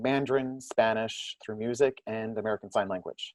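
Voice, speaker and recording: Over a quiet background with a dry, close sound and no echo, a man speaks fairly quickly at medium pitch in a monotone, flat intonation. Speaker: theater audience services director. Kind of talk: panel discussion.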